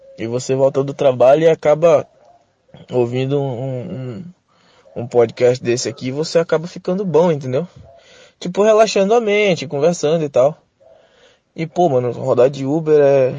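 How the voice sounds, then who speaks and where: A man's dark, mellow tone at a fairly high pitch, moderate pace with long, frequent pauses, and ordinary pitch variation. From Manaus, Brazil. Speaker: rideshare driver. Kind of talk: voice message. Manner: casual slangy.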